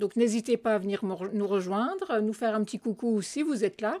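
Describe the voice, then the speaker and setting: Here a woman is talking. Her voice has a dark, mellow tone. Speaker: craft product demonstrator. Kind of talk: live craft tutorial. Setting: live video stream. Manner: hesitant, many fillers.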